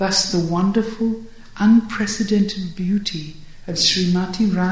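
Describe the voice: What this recording holds is plain reading aloud.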